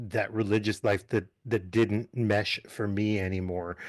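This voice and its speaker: Against a quiet background, a man with an American accent speaks at a moderate pace in a fairly low voice. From New England, US (Massachusetts and Connecticut). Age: 40s. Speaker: summer camp director. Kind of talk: casual interview. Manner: hesitant, many fillers.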